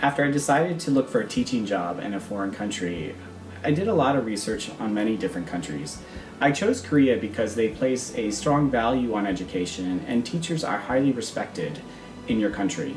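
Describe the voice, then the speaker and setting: Talking fairly quickly at a medium pitch with very wide pitch swings, a man with an American accent is heard over background music and audible room echo. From US Midwest and South (Michigan, South Carolina). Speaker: schoolteacher. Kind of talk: scripted self-introduction. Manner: formal.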